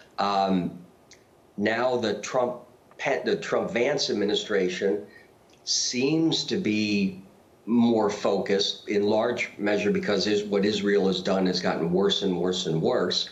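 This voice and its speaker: A man talks at a very slow pace with very even loudness. Audible room echo is present. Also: fairly low pitch for a man, ordinary pitch variation. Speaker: political analyst. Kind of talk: TV interview. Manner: hesitant, with stammering.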